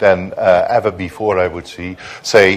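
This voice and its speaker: A man speaks at a moderate pace. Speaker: diplomat, conference panelist. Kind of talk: conference panel speech. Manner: hesitant, many fillers.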